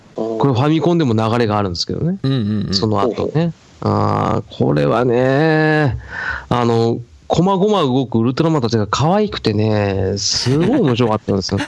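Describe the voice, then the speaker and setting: Moving at a medium pace, the man's pitch leaps up and down across a huge range. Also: medium pitch for a man. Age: 30s. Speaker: podcast co-host, amateur band member. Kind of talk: casual chat.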